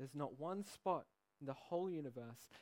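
A fairly high-pitched man with an Australian accent, lively intonation and a fairly slow pace. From Australia, Sydney. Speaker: pastor. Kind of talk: sermon. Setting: church.

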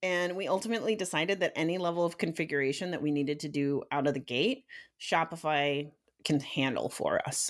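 Woman with a normal speaking voice, fairly low in pitch with ordinary variation, at a fairly quick pace on a very clean recording with a silent background. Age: 30s. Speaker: e-commerce podcast co-host. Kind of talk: casual business chat.

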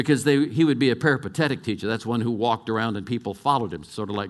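An American accent marks this man's medium-pitched voice. His intonation is lively, and the background is quiet. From California. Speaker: pastor. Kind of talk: sermon. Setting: church.

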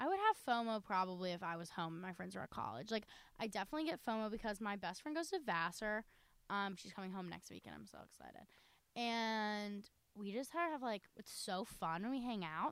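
A woman with an American accent speaks in an unremarkable speaking voice at a medium pitch and a fairly quick pace, her intonation lively and her loudness swinging widely. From North Carolina. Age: young. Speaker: college student podcast co-host. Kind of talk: casual chat.

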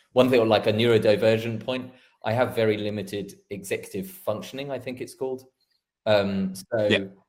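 Using an ordinary speaking voice, a man talks at a moderate pace with a medium pitch and fairly even intonation. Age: 40s. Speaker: front end developer. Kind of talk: casual chat.

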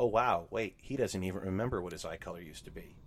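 This man speaks with an American accent. His pitch varies in an ordinary way. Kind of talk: casual chat.

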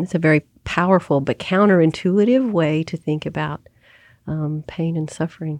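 With an American accent and a plain, everyday voice, a woman talks at a moderate pace in a fairly low pitch with ordinary pitch variation, in a dry, close sound with no echo and a quiet background. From Oklahoma, US. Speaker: theologian and seminary president. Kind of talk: interview. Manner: reflective, with many fillers.

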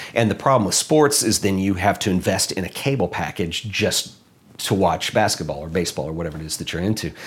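With an American accent, a man speaks very fast in a very deep, low voice, his intonation lively. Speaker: photographer and filmmaker, YouTuber. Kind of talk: interview.

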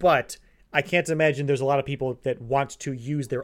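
Over a quiet background, a man with an unremarkable speaking voice talks at a fairly high pitch with fairly even intonation. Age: 20s. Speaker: podcast co-host. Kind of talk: casual chat.

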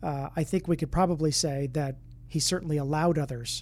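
Fairly quick, somewhat breathy speech from a man, fairly high in pitch, with fairly even intonation. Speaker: podcast host and ministry director. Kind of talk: interview conversation.

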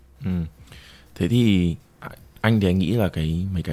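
Very fast in pace, a man speaks with a very deep, low pitch, a dark, mellow tone and ordinary pitch variation. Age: 20s. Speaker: podcast co-host, account manager. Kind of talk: casual chat.

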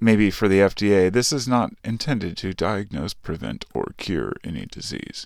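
On a very clean recording with a silent background, a man with a plain, everyday voice speaks at a fairly slow pace, fairly low in pitch, with lively intonation. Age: 40s. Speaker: podcast host. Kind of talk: casual monologue.

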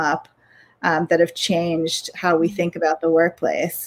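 At a moderate pace, a woman speaks in a normal speaking voice with a fairly low pitch. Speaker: podcast host and workplace culture consultant. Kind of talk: casual chat. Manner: informal, filler-heavy.

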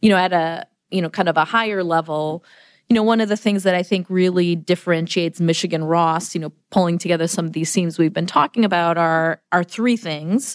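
A woman with an American accent uses an unremarkable speaking voice, fairly low in pitch and fairly even in intonation, at a fairly quick pace, with a dry, close sound with no echo on a very clean recording with a silent background. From US Midwest, Chicago area. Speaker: business school dean. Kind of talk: podcast interview.

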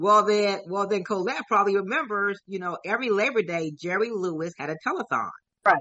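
A woman of medium pitch talks at a fairly quick pace in a plain, everyday voice with ordinary pitch variation. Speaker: event organizer and life insurance advocate. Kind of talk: radio interview.

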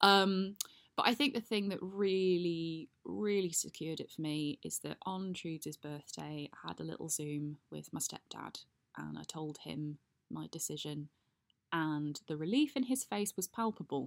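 A woman speaks in a normal speaking voice, fairly low in pitch and fairly slow. Her intonation is lively, and the sound is dry and close with no echo. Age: 30s. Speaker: podcast host. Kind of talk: personal monologue.

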